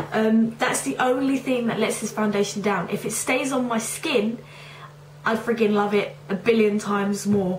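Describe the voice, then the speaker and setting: A woman with a fairly high pitch and ordinary pitch variation talks at a moderate pace, noticeable background noise behind her. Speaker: beauty reviewer. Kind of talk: casual talk to camera.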